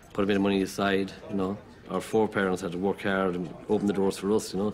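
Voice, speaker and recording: A man speaks very fast with an Irish accent. His fairly low pitch stays monotone, with flat intonation. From rural Ireland. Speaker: carpenter. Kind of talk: interview.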